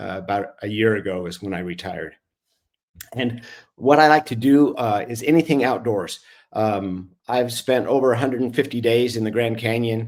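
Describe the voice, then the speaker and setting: At a moderate pace, a man speaks in an unremarkable speaking voice, medium in pitch with ordinary pitch variation. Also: very clean recording, silent background. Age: 60s. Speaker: retired orthopedic surgeon, bereaved father. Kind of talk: podcast interview, personal story.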